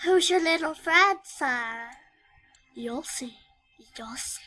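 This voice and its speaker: Putting on a character voice, a woman talks very slowly at a high pitch. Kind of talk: comic overacting. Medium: solo performance.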